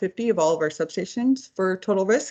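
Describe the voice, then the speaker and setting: In an ordinary speaking voice, a woman talks at a moderate pace and a medium pitch. Her pitch varies an ordinary amount. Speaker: utility engineer.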